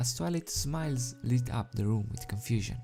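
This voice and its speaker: Lively intonation and a non-native accent carry over music in the background. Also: man. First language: not English. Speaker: fanfiction reader, youtuber. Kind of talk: reading aloud. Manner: halting.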